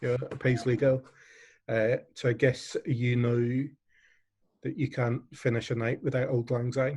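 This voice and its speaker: Speaking in an English accent, a man with a medium pitch and a somewhat breathy voice goes at a fairly slow pace, with monotone, flat intonation and long, frequent pauses. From England. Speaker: online charity event host. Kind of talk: closing remarks at online fundraiser. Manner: hesitant, many fillers.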